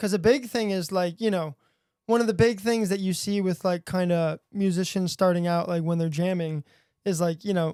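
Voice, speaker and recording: A man with an American accent talks at a moderate pace in a high, dark, mellow voice with fairly even intonation, recorded with a dry, close sound and no echo. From Buffalo, New York. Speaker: musician and audio engineer. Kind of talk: casual interview chat. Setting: studio. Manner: casual, many fillers.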